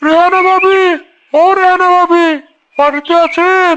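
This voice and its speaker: This squeaky, cartoonish character voice sits at an extremely high pitch. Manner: meek, apologetic.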